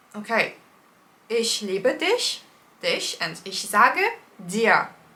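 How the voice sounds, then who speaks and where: A woman with a fairly high pitch and very wide pitch swings speaks over noticeable background noise. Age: young. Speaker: polyglot language learner. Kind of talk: casual talk to camera.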